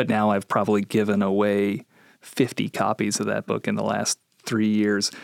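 A man with an Upper Midwest accent, fairly low in pitch, monotone and flat, at a moderate pace, in a dry, close sound with no echo. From Minnesota. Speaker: military chaplain, podcast host. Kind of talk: interview. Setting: studio.

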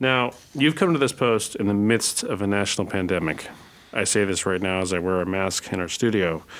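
A man talks in a normal speaking voice at a fairly quick pace. His pitch is fairly low, with ordinary pitch variation. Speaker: podcast host. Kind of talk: interview host.

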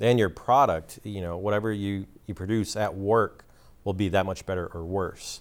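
A man has a normal speaking voice and a fairly low pitch. He talks at a moderate pace with fairly even intonation. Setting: studio.

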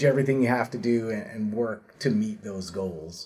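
Music plays in the background as a man speaks. His pace is moderate and his pitch variation ordinary. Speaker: podcast host. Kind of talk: interview podcast.

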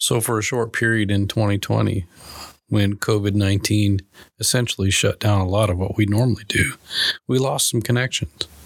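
With an American accent, a man speaks in a normal speaking voice at a moderate pace, fairly low in pitch, with fairly even intonation and very even loudness. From Minnesota. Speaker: podcast host, military public affairs officer. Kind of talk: interview.

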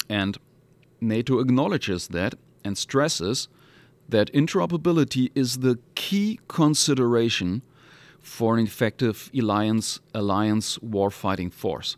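A man in a German accent, medium pitch and lively intonation, at a fairly slow pace, on a very clean recording with a silent background. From Hamburg, northern Germany. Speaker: military lawyer. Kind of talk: interview.

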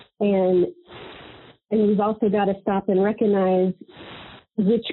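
With an American accent, a woman speaks in monotone, flat intonation. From Missouri (Fulton). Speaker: retired navy master chief. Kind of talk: interview.

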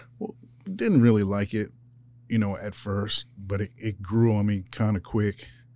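A man with an American accent speaks in a dark, mellow tone at a fairly low pitch. The recording is very clean, with a silent background. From Philadelphia, US. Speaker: weapons operator, Marine veteran. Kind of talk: interview. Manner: casual, halting.

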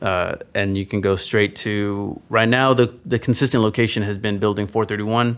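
In a very clean recording with a silent background, a man with a normal speaking voice talks at a moderate pace in a fairly low pitch, with fairly even intonation and hardly any pauses. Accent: American. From Texas, San Antonio. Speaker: military chapel staff sergeant. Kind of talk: casual interview chat.

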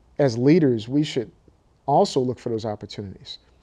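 A man with an American accent, fairly high in pitch, dark and mellow in tone, at a moderate pace with ordinary pitch variation. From Newark, New Jersey. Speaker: military officer. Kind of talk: interview. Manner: animated.

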